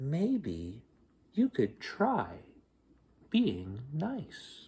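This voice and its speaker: This is a put-on character voice with a gentle tone. The pitch sits in the middle. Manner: gentle, mildly chiding.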